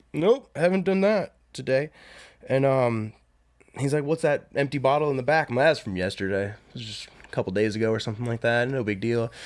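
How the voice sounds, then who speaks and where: Speaking at a fairly quick pace, a man with a plain, everyday voice and medium pitch uses lively intonation. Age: 30s. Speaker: podcast host. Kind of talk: casual chat.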